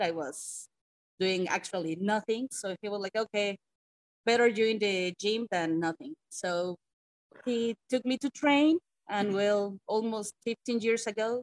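In a Mexican accent, the speaker talks at a moderate pace with ordinary pitch variation, in a dry, close sound with no echo. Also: woman. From Mexico City. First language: Spanish. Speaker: pro wrestler. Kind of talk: casual interview. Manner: laughs often, halting English.

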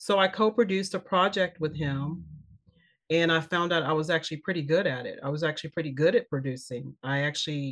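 This woman talks at a fairly quick pace in a fairly low pitch, with ordinary pitch variation. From US Midwest, Kansas City, Missouri. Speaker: actress and film producer. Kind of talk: interview conversation. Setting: studio.

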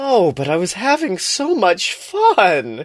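A put-on character voice growls at a fairly high pitch and a fairly slow pace. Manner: wickedly growling, teasing.

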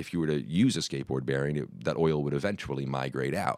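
A man talks at a very fast pace with a very deep, low pitch. Vocal fry runs through his voice. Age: 30s. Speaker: inventor of a drum accessory. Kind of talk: casual interview. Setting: studio. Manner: hesitant, many fillers.

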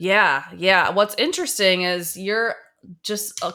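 A woman with an American accent talks at a moderate pace with ordinary pitch variation. Her tone is bright and sharp, on a very clean recording with a silent background. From Chicago, US Midwest. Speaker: podcast host. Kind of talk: casual conversation interview.

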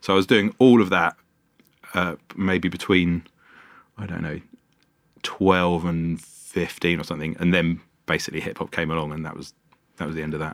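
With a London accent, a man speaks in a very deep, low voice at a moderate pace, his intonation fairly even, his loudness swinging widely and his pauses long and frequent. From London (Wembley, North London). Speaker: sound engineer and bar founder. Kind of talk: casual interview. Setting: podcast studio.

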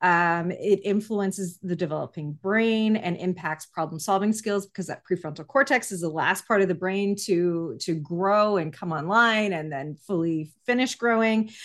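Speaking at a moderate pace and a medium pitch, a woman has an ordinary speaking voice whose pitch varies in an ordinary way. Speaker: podcast host. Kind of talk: casual interview chat.

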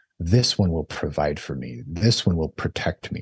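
Over a quiet background, a somewhat breathy man with a very deep, low pitch talks at a fairly slow pace, the sound dry and close with no echo. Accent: American. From Idaho, US. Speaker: physician. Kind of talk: interview.

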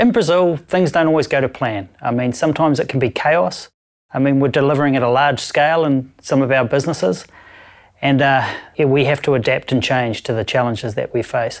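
A man with a New Zealand accent speaks fairly quickly at a fairly high pitch, with ordinary pitch variation and very even loudness. The recording is very clean, with a silent background. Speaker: audit company director. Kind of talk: interview answers.

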